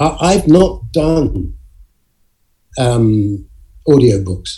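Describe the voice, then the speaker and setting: In an English accent, a somewhat breathy voice moves at a very slow pace through very wide pitch swings. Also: man. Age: 70s. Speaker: actor. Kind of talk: interview. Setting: video call.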